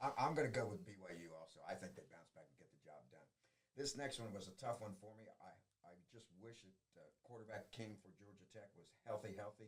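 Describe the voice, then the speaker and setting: In an American accent, a man talks at a fairly quick pace and medium pitch, somewhat breathy, with ordinary pitch variation and big swings in loudness. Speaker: high school sports show host. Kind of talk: casual sports picks chat.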